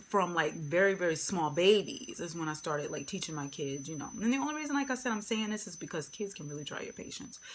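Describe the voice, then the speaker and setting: A woman at medium pitch talks at a fairly quick pace with hardly any pauses. Her pitch swings very widely, her loudness swings a lot, and the room echo is audible. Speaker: beauty vlogger. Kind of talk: casual chat. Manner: rambling, filler-heavy.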